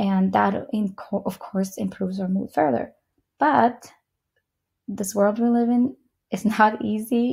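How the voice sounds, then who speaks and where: A woman speaks at a fairly slow pace and medium pitch, somewhat breathy. Her pitch varies in an ordinary way, with long, frequent pauses. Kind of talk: software update walkthrough. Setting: screen-recorded video.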